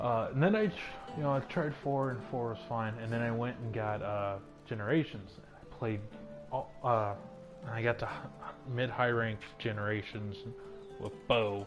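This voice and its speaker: Music plays in the background as a man speaks at a moderate pace. His loudness swings widely. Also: ordinary pitch variation. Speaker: gamer streamer. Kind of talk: casual gameplay commentary. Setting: earbud microphone.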